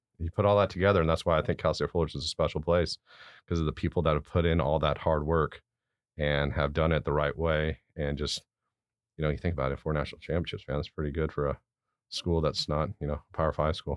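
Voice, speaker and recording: Very fast speech with an American accent and fairly even intonation. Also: man, very deep, low pitch for a man. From Southern California, Garden Grove. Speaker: college baseball head coach. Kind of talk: casual interview. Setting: studio.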